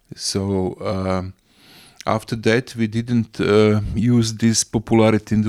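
In a Croatian accent, a man with a fairly low pitch and dark, mellow tone speaks at a fairly slow pace with a monotone, flat intonation, in a dry, close sound with no echo. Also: very clean recording, silent background. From Croatia, Rijeka and island of Krk. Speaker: local environmental campaigner and businessman. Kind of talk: interview. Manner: halting.

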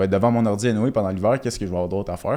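A man's fairly low, dark, mellow voice with a Quebec accent and ordinary pitch variation, on a very clean recording with a silent background. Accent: Québécois French. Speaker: crypto entrepreneur. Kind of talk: casual chat.

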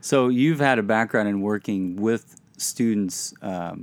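This man has a normal speaking voice with a fairly low pitch and lively intonation, captured in a very clean recording with a silent background. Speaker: podcast host. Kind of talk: conversational interview.

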